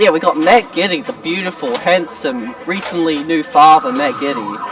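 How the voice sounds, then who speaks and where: Over noticeable background noise, a man with a high pitch talks at a moderate pace, his pitch swinging very widely. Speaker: pinball tournament commentator. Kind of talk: live commentary. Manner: casual, animated.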